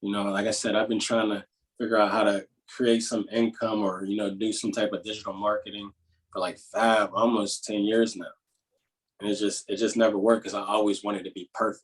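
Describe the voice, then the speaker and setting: With an American accent, a man talks fairly quickly at a fairly low pitch in a monotone, flat intonation. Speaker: entrepreneur and motivational speaker. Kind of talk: podcast interview. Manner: casual, filler-heavy.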